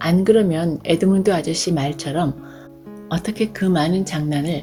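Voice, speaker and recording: Ordinary pitch variation in a woman's fairly low voice. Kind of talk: audiobook reading.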